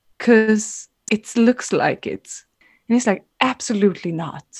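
A somewhat breathy, fairly slow woman's voice with a Swedish accent, dry and close with no echo. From Sweden. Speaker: dancer. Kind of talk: storytelling.

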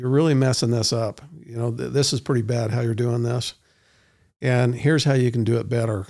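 At a fairly quick pace, a man in a normal speaking voice talks at a medium pitch with ordinary pitch variation. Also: very clean recording, silent background. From Utah, US. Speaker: entrepreneur and public speaker. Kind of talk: interview.

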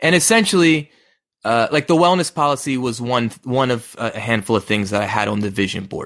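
A man speaks at a fairly quick pace in a plain, everyday voice. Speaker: podcast co-host. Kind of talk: casual chat. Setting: video call.

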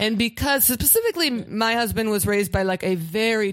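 The recording is very clean, with a silent background. A woman talks at a moderate pace in an ordinary speaking voice of medium pitch. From Pittsburgh, US. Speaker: comedian. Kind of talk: casual chat.

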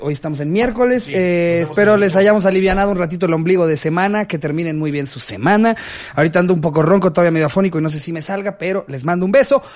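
With noticeable background noise behind him, a man with a high voice talks very fast with hardly any pauses and ordinary pitch variation. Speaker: comedy podcast host. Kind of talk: casual chat.

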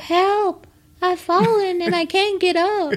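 A woman uses a put-on character voice pitched extremely high. She delivers it at a fairly slow pace. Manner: comic, exaggerated.

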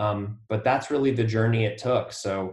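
Somewhat breathy, a man talks at a moderate pace with a fairly low pitch. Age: 40s. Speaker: debut novelist and artist. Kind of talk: interview about writing craft.

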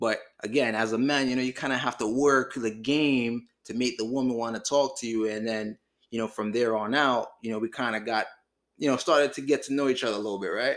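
On a very clean recording with a silent background, a man with an unremarkable speaking voice talks fairly quickly at medium pitch with fairly even intonation. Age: 20s. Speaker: podcast co-host, married partner. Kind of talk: casual chat.

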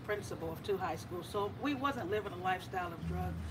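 Moderate-paced speech from a woman with an American accent, noticeable background noise behind her. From US inner city. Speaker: cannabis licensee and recovering addict. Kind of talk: personal testimony. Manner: quiet.

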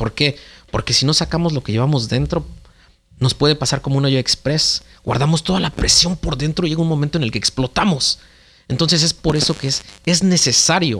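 A man speaks at a moderate pace. His voice carries vocal fry. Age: 30s. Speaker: father, podcast guest. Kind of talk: casual chat.

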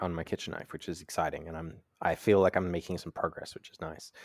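A man talks with an Australian accent. The sound is dry and close with no echo, a very clean recording with a silent background. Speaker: podcast host and knife maker.

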